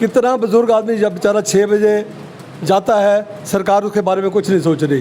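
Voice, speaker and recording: Against noticeable background noise, a man speaks in a high voice with fairly even intonation. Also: very even loudness. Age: 70s. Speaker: shopkeepers' association general secretary. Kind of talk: interview.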